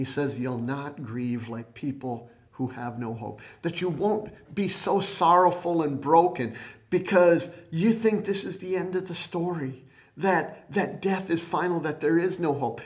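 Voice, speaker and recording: A man speaks at a high pitch with lively intonation. His fairly slow delivery carries audible room echo. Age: 60s. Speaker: preacher. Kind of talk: sermon.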